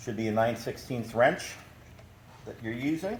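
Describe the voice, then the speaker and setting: Audible room echo surrounds a man of medium pitch speaking with an American accent. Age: 60s. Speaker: machine repair technician. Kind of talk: tutorial. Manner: casual.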